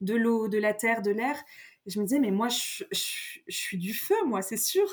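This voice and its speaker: A woman's voice sits fairly high in pitch. She talks at a moderate pace. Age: 30s. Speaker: astrologer. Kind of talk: casual chat. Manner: mannered; halting.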